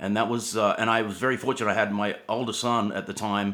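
An Australian accent from a male speaker. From Australia, Sydney. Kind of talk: interview conversation. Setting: remote call.

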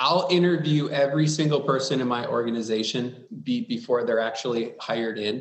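In a plain, everyday voice, a man with an American accent speaks at a medium pitch with ordinary pitch variation. His pace is fairly quick, with hardly any pauses. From US Midwest, Wisconsin. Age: 40s. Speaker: public sector IT executive. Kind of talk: interview.

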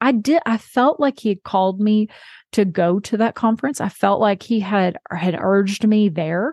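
A woman with medium pitch and a normal speaking voice talks at a moderate pace. The sound is dry and close with no echo, over a quiet background. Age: 40s. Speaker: podcast host. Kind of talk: faith-based podcast monologue.

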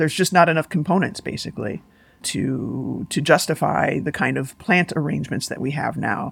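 A woman with an American accent speaks at a moderate pace, her very deep, low pitch carrying vocal fry. Her intonation is lively. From US Midwest, Chicago. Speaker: investigative journalist and academic. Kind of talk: interview conversation. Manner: halting, many fillers and restarts.

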